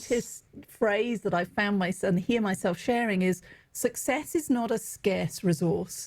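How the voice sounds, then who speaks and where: A woman's medium-pitched, somewhat breathy voice with an English accent, lively intonation and very even loudness. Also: fairly slow pace. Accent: English accent, often mistaken for Australian. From England. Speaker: executive coach and author. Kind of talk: podcast interview.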